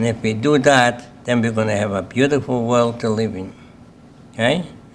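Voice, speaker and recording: Noticeable background noise behind a man's moderate-paced, medium-pitched speech with fairly even intonation. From Lithuania, Kaunas. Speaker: Holocaust survivor. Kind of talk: testimony.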